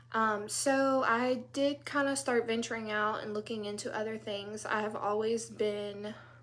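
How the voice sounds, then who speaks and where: With a Louisiana accent, a woman talks at a fairly high pitch amid audible room echo. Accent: Southern US, Louisiana. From US South, South Louisiana. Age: 30s. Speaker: direct sales consultant. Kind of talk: casual live talk to group. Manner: casual, many fillers.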